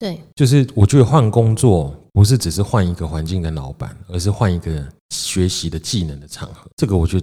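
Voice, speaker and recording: A man speaks with a Taiwanese accent in a very deep, low voice with a dark, mellow tone. The recording is very clean, with a silent background. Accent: Taiwanese Mandarin. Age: 30s. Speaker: podcast host, small business owner. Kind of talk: casual chat. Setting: home-built studio.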